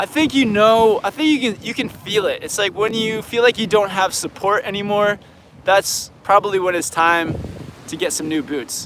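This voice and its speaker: A high-pitched man amid noticeable background noise. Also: ordinary pitch variation, moderate pace. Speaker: snowboard instructor and video creator. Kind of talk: live Q&A stream. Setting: outdoors at a beach. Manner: casual, halting with many restarts.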